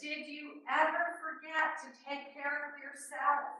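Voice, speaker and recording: Projecting a raised voice, a woman with an American accent speaks at a very slow pace amid audible room echo. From New York City. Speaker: extension educator. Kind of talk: webinar presentation. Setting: webinar with small room audience. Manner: conversational, hesitant fillers.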